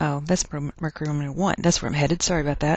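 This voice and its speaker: Against a quiet background, a woman with a Texas accent speaks at a very deep, low pitch with ordinary variation. The sound is dry and close, with no echo. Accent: Texas twang. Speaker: chemistry teacher. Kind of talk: lecture. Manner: casual, conversational.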